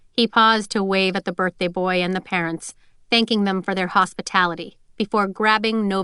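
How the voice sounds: Fairly even intonation marks this read. It is a natural reading voice.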